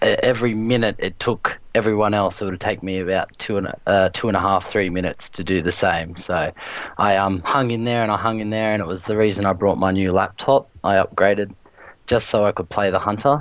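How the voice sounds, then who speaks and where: Speaking with an Australian accent, a man keeps a fairly low pitch. His pace is fairly quick and his intonation fairly even. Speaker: online gamer, video creator. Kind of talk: casual chat.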